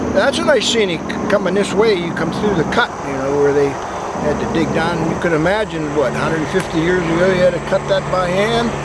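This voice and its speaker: A man speaks in a high voice at a moderate pace with lively intonation. Noticeable background noise and audible room echo surround him. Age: 80s+. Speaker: trail walker interviewed. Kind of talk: casual interview. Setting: outdoors on a trail.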